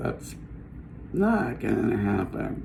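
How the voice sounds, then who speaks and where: There is noticeable room reverb on this man's speech. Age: 60s. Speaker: vlogger sharing cancer journey. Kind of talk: personal video diary. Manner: halting, many fillers.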